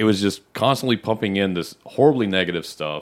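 A man with an American accent talks fairly quickly at a fairly low pitch, with ordinary pitch variation, in an unremarkable speaking voice. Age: 30s. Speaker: podcast guest. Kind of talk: casual chat.

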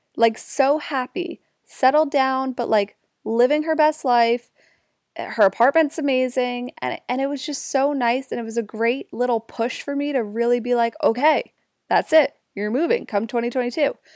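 A woman with a high pitch talks in an animated tone at a moderate pace, with ordinary pitch variation and a dry, close sound with no echo. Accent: New Jersey. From New Jersey, Jersey Shore. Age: 20s. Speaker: podcast host. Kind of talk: casual solo monologue. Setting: home recording.

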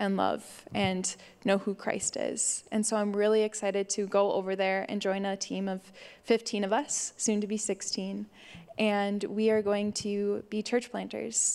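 In an American accent, a woman speaks at a medium pitch and a fairly slow pace, her intonation monotone and flat. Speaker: missionary. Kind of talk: testimony. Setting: church.

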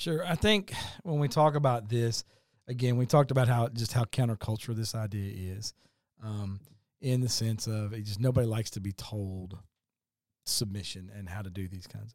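In a very clean recording with a silent background, a man with a Southern US accent speaks at a moderate pace and medium pitch, with ordinary pitch variation and big swings in loudness. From Kentucky. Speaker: pastor. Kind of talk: casual chat.

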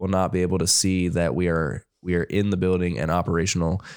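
On a very clean recording with a silent background, a man with a Midwestern American accent speaks at a moderate pace with a very deep, low pitch and fairly even intonation. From Ohio. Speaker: podcast host, 3D printing technician. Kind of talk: technical explanation; casual chat. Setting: studio/office livestream.

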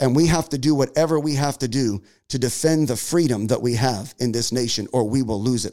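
A man is talking. His tone is dark and mellow. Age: 40s. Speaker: pastor and podcast host. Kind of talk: monologue podcast, sermon-like. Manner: impassioned, many fillers and repetitions.

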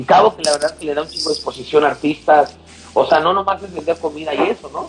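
A man speaks at a fairly quick pace with a fairly high pitch. Noticeable background noise can be heard. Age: 40s. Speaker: nightlife promoter. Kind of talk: casual chat. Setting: video call.

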